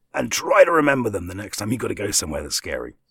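This man speaks with vocal fry. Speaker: voiceover artist. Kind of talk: casual chat.

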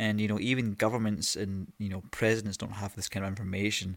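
Monotone, flat intonation comes through in a very clean recording with a silent background. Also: man. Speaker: podcast host. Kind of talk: solo monologue. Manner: rambling, hesitant.

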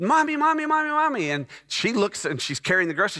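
With a Texan accent, a man projects a raised voice of bright, sharp tone and very wide pitch swings, recorded very cleanly against a silent background. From Texas (Dallas). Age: 50s. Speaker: pastor. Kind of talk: sermon. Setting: church.

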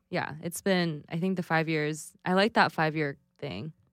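A plain, everyday voice from a woman of fairly low pitch, with fairly even intonation, in a very clean recording with a silent background and a dry, close sound with no echo. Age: 30s. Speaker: creative professional, new mother. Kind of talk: casual interview.

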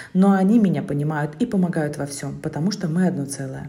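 A woman's very deep, low voice with lively intonation and audible room echo. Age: 30s. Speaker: podcaster, mother of five. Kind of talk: personal monologue.

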